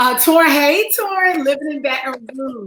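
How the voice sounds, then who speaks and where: A woman's animated tone at a fairly slow pace, with lively intonation. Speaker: online counseling show host. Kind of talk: live stream welcome to viewers.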